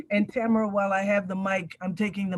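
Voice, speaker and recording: A somewhat breathy woman's voice. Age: 60s. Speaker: community elder and mentor. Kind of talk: panel discussion.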